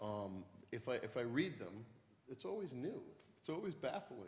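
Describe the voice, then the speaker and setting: A somewhat breathy man with an American accent, medium in pitch, moderate in pace, with very wide pitch swings and audible room echo. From western Massachusetts. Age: 60s. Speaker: poet. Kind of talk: onstage conversation.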